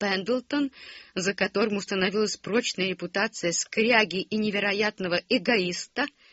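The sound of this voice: The voice reads in an unforced way.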